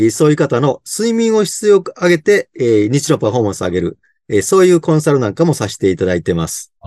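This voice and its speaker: A dark, mellow voice races along at a very fast pace with very wide pitch swings, in a dry, close sound with no echo. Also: man. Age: 60s. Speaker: sleep consultant. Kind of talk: interview. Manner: many fillers.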